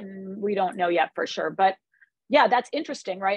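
A woman at medium pitch speaks at a fairly quick pace in a dry, close sound with no echo.

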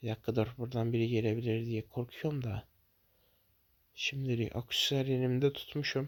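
A man talks at a moderate pace and medium pitch with monotone, flat intonation. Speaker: gaming YouTuber. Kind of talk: gameplay commentary.

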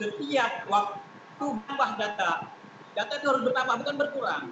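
A man uses a raised, projected voice at a moderate pace with ordinary pitch variation. Noticeable background noise is present. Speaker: association chairman. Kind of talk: online meeting. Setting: video call. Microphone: video call.

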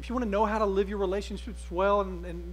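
There is light background noise. Over it, a man talks at a very fast pace. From Alabama. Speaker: pastor. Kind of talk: sermon. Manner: conversational. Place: church.

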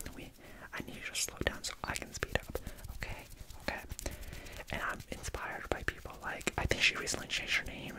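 A man whispering over loud background noise. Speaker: ASMR creator. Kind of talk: casual vlog chat. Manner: quick whisper into microphone. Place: home room. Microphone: studio mic.

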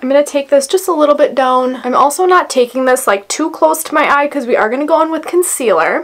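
Pitched high, a woman talks at a fairly quick pace. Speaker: beauty vlogger. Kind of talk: tutorial. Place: home room.

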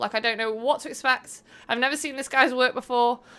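Speaking very fast in a Manchester accent, a woman has a high pitch and a bright, sharp tone. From northern England, Manchester. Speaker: gaming streamer. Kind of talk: live game stream chat. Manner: loud; animated. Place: home room. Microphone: headset.

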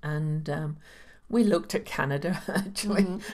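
This woman sounds somewhat breathy, with ordinary pitch variation. The background is quiet. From England. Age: 60s. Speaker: astrologer; podcast guest. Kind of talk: interview, casual chat; interview answer. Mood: warm, chatty. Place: home room. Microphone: studio mic.

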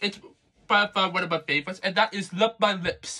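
A man's high, raised, projected voice with a bright, sharp tone at a moderate pace, over a quiet background. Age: young. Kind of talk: casual video review. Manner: halting, many fillers. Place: home room. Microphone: phone near.

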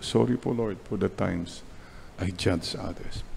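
A man speaks at a fairly low pitch with a Filipino accent. His pace is fairly slow, his pitch varies in an ordinary way, and there is light background noise. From Philippines. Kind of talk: sermon, homily. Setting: church chapel, online Mass. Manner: animated, conversational, preacherly with punchy repeated points; switches between English and Tagalog. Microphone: podium.

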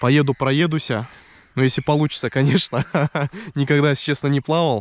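The voice moves at a moderate pace, and the sound is dry with no echo. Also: man. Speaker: fishing vlogger. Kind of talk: casual vlog chat. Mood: cheerful, relaxed. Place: waterside.

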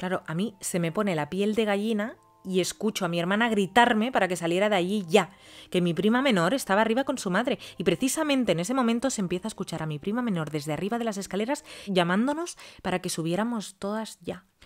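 A woman's animated tone, lively intonation and very fast pace. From Spain. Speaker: youtuber telling follower stories. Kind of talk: reading aloud listener stories with comments. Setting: at home. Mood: animated, expressive. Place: home room.

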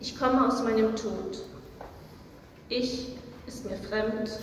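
A woman with a fairly high pitch speaks at a very slow pace with fairly even intonation. There is audible room echo and light background noise. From Germany. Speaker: poet. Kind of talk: poetry reading. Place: hall.

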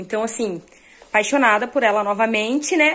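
Delivered very fast, the speech has ordinary pitch variation. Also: woman. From Brazil. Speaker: fashion vlogger. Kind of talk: casual vlog talk. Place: home room. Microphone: phone near.

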